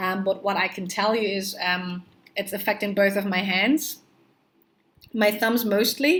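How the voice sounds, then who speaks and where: Speaking at a very slow pace with a non-native accent, a woman keeps a fairly even intonation on a very clean recording with a silent background. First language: not English. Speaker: pregnancy vlogger. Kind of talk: casual vlog monologue. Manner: hesitant with many fillers.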